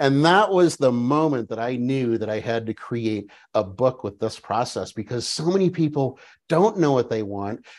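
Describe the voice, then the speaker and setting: A man's animated voice at medium pitch, with lively intonation, a moderate pace and a quiet background. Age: 50s. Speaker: business coach and author. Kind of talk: interview.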